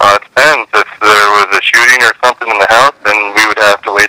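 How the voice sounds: A man speaks at a moderate pace in a fairly low voice with fairly even intonation and a bright, sharp tone. The sound is dry and close, with no echo.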